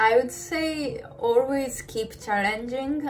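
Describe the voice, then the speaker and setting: With music in the background, a woman in a Japanese accent speaks at a very slow pace with ordinary pitch variation. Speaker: ballet dancer. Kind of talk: interview. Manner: halting.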